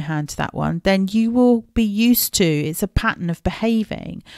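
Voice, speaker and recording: A woman with an English accent speaks at medium pitch and a moderate pace in a warm tone, with ordinary pitch variation, the sound dry and close with no echo on a very clean recording with a silent background. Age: 40s. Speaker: podcast host and life coach. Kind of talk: solo podcast talk. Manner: warm and chatty.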